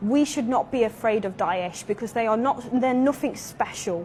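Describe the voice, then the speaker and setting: A woman with an English Midlands accent, fairly high-pitched, at a moderate pace. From England, Derby. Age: 20s. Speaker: convert to Islam, English teacher. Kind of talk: interview testimony.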